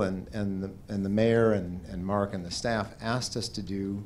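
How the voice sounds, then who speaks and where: A man speaks at a fairly slow pace with a fairly low pitch, in a plain, everyday voice. Light background noise can be heard. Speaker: presenter. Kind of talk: public meeting presentation. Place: hall. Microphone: handheld.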